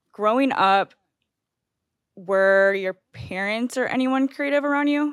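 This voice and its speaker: A woman with an American accent speaks in a high pitch at a fairly slow pace, using ordinary pitch variation. Her long, frequent pauses come through in a dry, close sound with no echo. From Missouri (outside St. Louis). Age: 20s. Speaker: podcast host. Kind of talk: casual interview chat.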